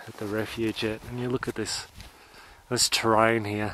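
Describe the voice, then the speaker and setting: A man speaks at a moderate pace in a medium pitch, his intonation monotone and flat. Noticeable background noise runs behind him. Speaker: vlogger. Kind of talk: vlog narration while hiking. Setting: outdoors on a mountain.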